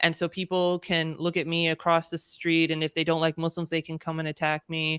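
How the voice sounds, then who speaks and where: A woman with a Californian accent speaks fairly quickly in a monotone, flat intonation, with hardly any pauses and a dry, close sound with no echo. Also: fairly low pitch for a woman, very clean recording, silent background. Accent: Californian American. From California, US. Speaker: diversity and inclusion consultant. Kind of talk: casual interview conversation.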